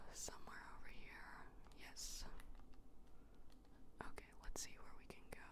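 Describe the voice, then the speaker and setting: Loud background noise fills the clip. The voice itself sounds dry, with no echo. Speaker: ASMR gaming streamer. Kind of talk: casual gaming commentary, whispered ASMR ramble. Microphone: studio mic.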